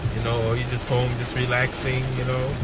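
A man's voice, dry with no echo, over loud background noise. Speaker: driver vlogger. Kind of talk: casual vlog chat. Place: car. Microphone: phone near.

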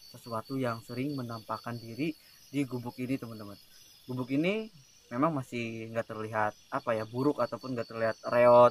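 The sound is dry with no echo. A man speaks at a fairly quick pace. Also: fairly even intonation. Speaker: camping vlogger. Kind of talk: casual vlog chat. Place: open country. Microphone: phone near.

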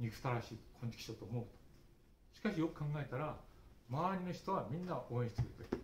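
A man's somewhat breathy voice, very fast with lively intonation and long, frequent pauses, with audible room echo and light background noise. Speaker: early childhood education lecturer. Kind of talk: speech at study group. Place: hall. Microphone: camera far.

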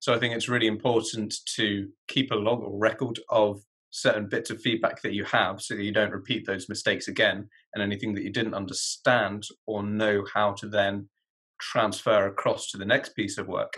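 In a quiet background, the voice is bright and sharp, with monotone, flat intonation at a moderate pace. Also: man, fairly low pitch for a man. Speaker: graduate student. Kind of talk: interview. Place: home room. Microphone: webcam.

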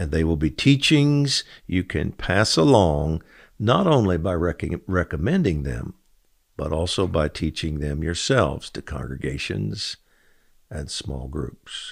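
Against a quiet background, a man with a very deep, low pitch and vocal fry speaks at a fairly slow pace with lively intonation. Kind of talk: fervent prayer and decree, preaching; daily devotional post read aloud. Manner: earnest, impassioned; urgent, rallying. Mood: calm, earnest, reverent. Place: studio. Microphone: studio mic.

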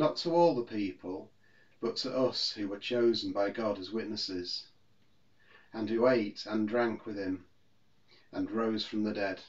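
A man speaks at a fairly slow pace with long, frequent pauses. His pitch is fairly low, with ordinary variation. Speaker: minister. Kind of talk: scripture reading. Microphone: phone near.

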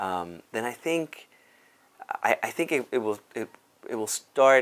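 At a fairly slow pace, a man talks. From Cuba, raised in South Bronx, New York; Cuba. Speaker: dance company artistic director. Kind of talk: interview monologue. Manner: halting, many fillers. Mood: warm, animated, smiling. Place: office. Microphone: lapel.

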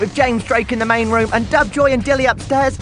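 Over music in the background, a man with an extremely high-pitched, raised, projected voice talks at a fairly quick pace with fairly even intonation. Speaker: voice actor. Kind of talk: club night radio advert.

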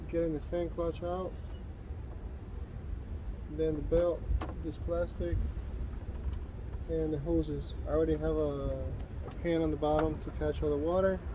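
A man speaks at a moderate pace with long, frequent pauses, the sound dry with no echo and noticeable background noise behind it. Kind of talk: tutorial. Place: street. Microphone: camera far.

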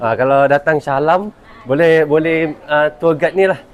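There is noticeable background noise behind a man speaking at a moderate pace. His pitch is fairly high, and his intonation is fairly even. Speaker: travel vlogger. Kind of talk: casual vlog narration.

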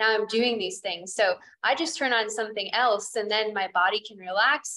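Her voice is fairly high-pitched, with ordinary pitch variation and a bright, sharp tone. The woman speaks against a quiet background. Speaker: yoga teacher. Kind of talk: casual chat. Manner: intense; laughs often. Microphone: video call.

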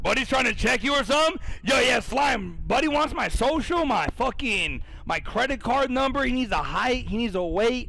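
Pitched extremely high, a man uses a raised, projected voice with an animated tone at a moderate pace. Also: ordinary pitch variation. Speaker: streamer running a For Honor tournament. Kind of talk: live commentary. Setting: live stream. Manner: loud, animated, excitable.

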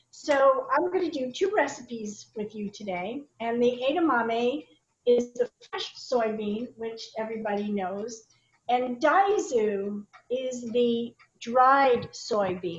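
In a room with audible echo, a woman talks at a very slow pace with a high pitch. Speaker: presenter. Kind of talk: tutorial. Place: kitchen. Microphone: video call.

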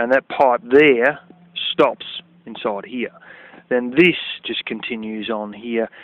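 Speaking very slowly with an Australian accent, a man leaves long, frequent pauses and uses ordinary pitch variation, in a dry sound with no echo. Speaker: DIY video maker. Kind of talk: casual vlog tutorial. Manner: animated. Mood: frank, somewhat annoyed. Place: open country. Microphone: phone near.

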